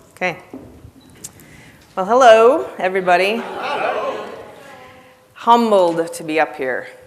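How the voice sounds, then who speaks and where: A woman at a medium pitch uses very wide pitch swings and big swings in loudness, speaking at a fairly slow pace with long, frequent pauses amid noticeable background noise and audible room echo. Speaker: network marketing speaker and trainer. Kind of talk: conference talk. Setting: stage with audience. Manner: casual, conversational.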